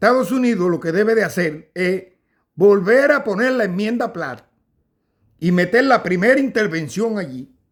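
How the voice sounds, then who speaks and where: With lively intonation and a high pitch, a man speaks at a moderate pace in a very clean recording with a silent background. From Cuba. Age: 60s. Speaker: political commentator. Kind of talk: casual monologue. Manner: halting.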